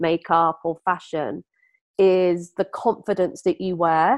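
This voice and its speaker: A woman's ordinary speaking voice, medium in pitch, at a fairly slow pace. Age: 50s. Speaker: beauty brand founder. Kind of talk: interview.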